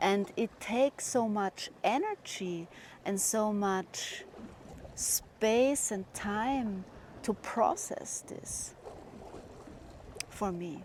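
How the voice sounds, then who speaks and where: Speaking at a very slow pace with long, frequent pauses, a woman with a fairly high-pitched voice and a German accent shows ordinary pitch variation. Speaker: spiritual vlogger. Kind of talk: personal monologue.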